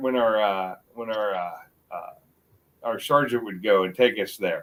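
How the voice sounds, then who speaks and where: Someone with an American accent speaks at a moderate pace with big swings in loudness. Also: man. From US South, North Carolina. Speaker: YouTuber, Army veteran. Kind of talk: casual chat. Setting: livestream. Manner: halting, repetitive.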